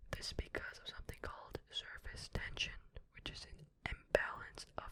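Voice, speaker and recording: A man whispers over noticeable background noise. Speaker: ASMR content creator. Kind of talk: ASMR space facts reading, casual and chatty. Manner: whispered, soft.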